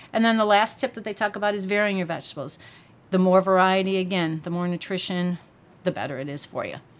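Very fast speech comes from a woman at a medium pitch, recorded very cleanly against a silent background. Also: ordinary pitch variation. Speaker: dietitian nutritionist. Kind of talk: casual interview chat.

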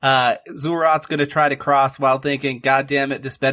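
The voice is an unforced reading voice. It is heard on its own.

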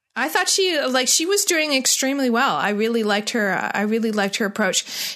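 Raised and projected, a woman's upbeat, enthusiastic voice carries lively intonation at a moderate pace. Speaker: Survivor analyst guest. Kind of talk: casual interview chat.

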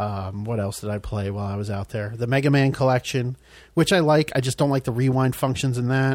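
Talking at a very fast pace, a man speaks at medium pitch. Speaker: podcast co-host. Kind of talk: casual chat.

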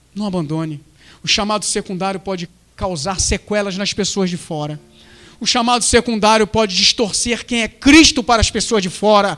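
The intonation is lively. The pace is moderate. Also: man. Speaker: submarine diver and preacher. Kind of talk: sermon, preacher in full flow, fervent repetitive exhortation. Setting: church. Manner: emphatic, urgent, rhythmic repetition.

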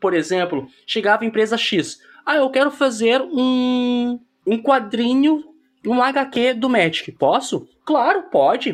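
A man with an extremely high pitch speaks at a fairly slow pace. His intonation is lively, on a very clean recording with a silent background. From southern Brazil, Porto Alegre. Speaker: tabletop game content creator. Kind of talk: casual chat.

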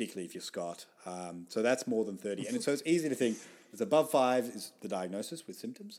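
Natural-voiced reading aloud

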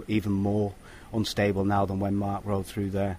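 With a British accent, a man talks fairly quickly in a fairly low voice. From Britain. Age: 40s. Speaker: professional cyclist. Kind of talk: interview. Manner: halting.

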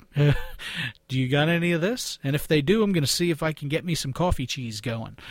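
Somewhat breathy, the speaker talks at a very fast pace in a Philadelphia accent. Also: man, fairly high pitch for a man, ordinary pitch variation. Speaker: podcast host. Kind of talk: casual podcast monologue. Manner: halting, many fillers.

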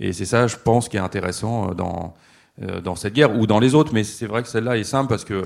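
A man with an unremarkable speaking voice and fairly low pitch talks at a fairly quick pace with fairly even intonation. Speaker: comics writer. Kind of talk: panel talk at a festival. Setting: stage with audience.

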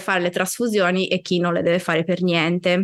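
A woman's unremarkable speaking voice, medium in pitch and fairly quick in pace, on a very clean recording with a silent background. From Sardinia, Italy. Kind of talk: interview conversation.

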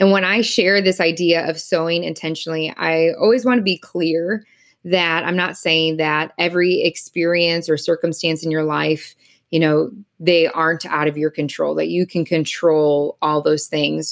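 A woman with an American accent uses an ordinary speaking voice, fairly low in pitch with fairly even intonation. Her moderate pace comes through on a very clean recording with a silent background. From Wisconsin. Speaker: pastor and counselor. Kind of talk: casual interview.

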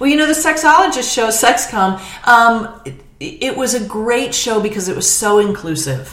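Noticeable background noise and audible room echo surround a woman's voice. Her fairly high pitch swings very widely. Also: moderate pace. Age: 50s. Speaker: comedian. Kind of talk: casual chat.

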